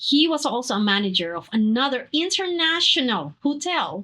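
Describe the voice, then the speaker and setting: A woman with a Filipino accent speaks in a raised, projected voice at a moderate pace. Her high-pitched tone is bright and sharp, with very wide pitch swings. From Philippines. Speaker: actress and dancer. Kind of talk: interview. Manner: halting, many fillers.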